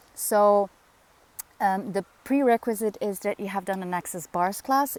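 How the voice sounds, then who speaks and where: In a dry, close sound with no echo, a woman with a Dutch accent speaks at a medium pitch with ordinary pitch variation. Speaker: spiritual facilitator. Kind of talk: casual vlog monologue. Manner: halting, many fillers.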